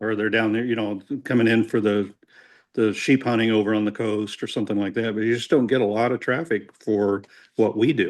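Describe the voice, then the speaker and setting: Speaking in an Indiana accent at a fairly quick pace, the voice keeps fairly even intonation over a quiet background. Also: man, medium pitch for a man. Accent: Hoosier. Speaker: archery collector and historian. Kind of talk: casual chat. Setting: podcast recording.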